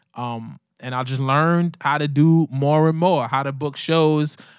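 With a Brooklyn accent, a man talks at a moderate pace in a fairly high pitch with fairly even intonation on a very clean recording with a silent background. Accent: New York, Brooklyn. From New York City, Brooklyn (Coney Island). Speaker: rapper. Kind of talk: casual interview.

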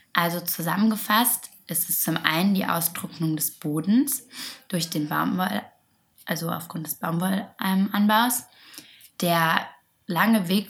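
At a very slow pace, a woman speaks in a somewhat breathy voice of medium pitch. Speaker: podcast co-host. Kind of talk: casual chat about sustainable fashion.

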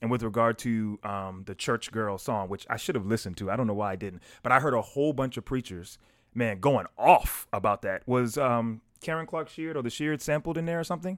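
With an American accent and a normal speaking voice, a man talks at a medium pitch and fairly quick pace with lively intonation, on a very clean recording with a silent background. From US South, South Carolina. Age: young. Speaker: pastor. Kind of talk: casual discussion.

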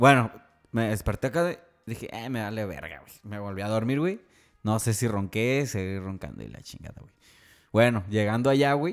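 Speaking at a moderate pace, a man uses a medium pitch with ordinary variation and big swings in loudness. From Tijuana, Mexico. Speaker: podcast co-host. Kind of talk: casual chat. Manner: animated.

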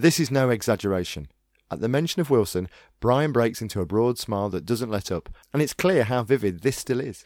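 A man in a normal speaking voice, medium pitch and lively intonation at a fairly quick pace, on a very clean recording with a silent background. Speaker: radio host. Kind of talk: podcast hosting, interviewing.

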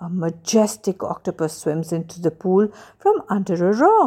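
A woman with an ordinary speaking voice talks at a fairly slow pace in a very clean recording with a silent background. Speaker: storyteller. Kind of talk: bedtime story narration for children, with a gentle read-aloud lilt. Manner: soft, warm and unhurried.

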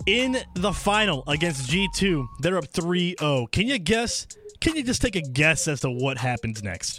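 With music in the background, a man speaks at a fairly slow pace in a high voice that swings very widely in pitch. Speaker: radio host. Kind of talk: radio show hosting. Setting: radio studio.

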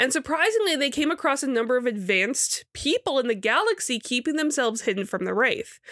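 This very fast speaker has an American accent and a bright, sharp tone with very wide pitch swings. The recording is very clean, with a silent background. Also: woman, high pitch for a woman, hardly any pauses. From Michigan. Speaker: podcast co-host. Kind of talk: casual chat. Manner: quieter than usual.

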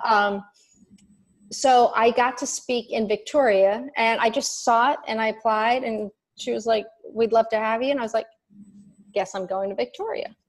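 Against a quiet background, a woman with a fairly high pitch speaks at a moderate pace, leaving long, frequent pauses. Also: fairly even intonation. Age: 50s. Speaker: life coach and author. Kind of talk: casual interview.

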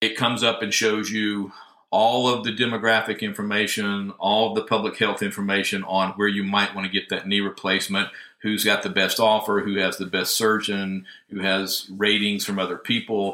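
With a Southern US accent, a man speaks at a moderate pace in a bright, sharp tone, with a fairly low pitch and monotone, flat intonation. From US South, northwest Georgia. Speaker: healthcare IT consultant. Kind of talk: interview.

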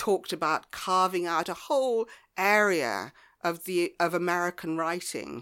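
A woman with a southern English accent speaks in a bright, sharp tone at a fairly low pitch, recorded very cleanly against a silent background. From southwest England, Devon near Lyme Regis. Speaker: author. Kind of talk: casual chat. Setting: homemade studio.

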